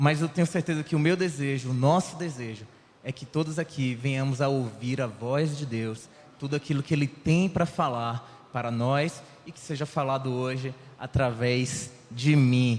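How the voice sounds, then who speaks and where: Here a man with a medium pitch talks at a moderate pace in a normal speaking voice, with ordinary pitch variation. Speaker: lay preacher. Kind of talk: sermon. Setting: church.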